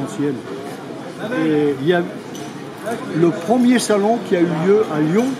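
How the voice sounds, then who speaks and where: The man speaks very slowly. Noticeable noise sits behind his voice. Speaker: vintage car parts dealer. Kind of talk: casual interview at trade show. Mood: animated, reminiscing. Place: market. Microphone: phone near.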